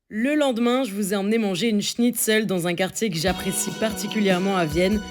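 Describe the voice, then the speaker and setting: With music in the background, a woman speaks at a medium pitch and moderate pace. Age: 20s. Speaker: travel vlogger. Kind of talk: casual talk to camera.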